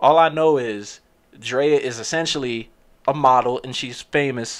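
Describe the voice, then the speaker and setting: Over a quiet background, a man with an American accent speaks at a very slow pace, his pitch fairly high and varying in an ordinary way. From New Jersey, Perth Amboy; New Jersey. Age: 20s. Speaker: podcast host. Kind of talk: casual solo monologue. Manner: casual, with many fillers. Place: home room. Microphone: studio mic.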